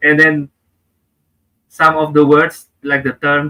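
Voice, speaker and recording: Dry and close with no echo, a man talks at a fairly slow pace with an Indonesian accent. His fairly high voice has a bright, sharp tone. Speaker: comedian and public speaker. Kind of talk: interview.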